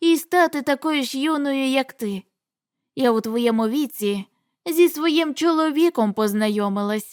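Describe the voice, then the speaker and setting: Using a put-on character voice, a woman speaks high-pitched with lively intonation at a moderate pace, in a very clean recording with a silent background and a dry, close sound with no echo. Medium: read story. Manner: homely, fussing.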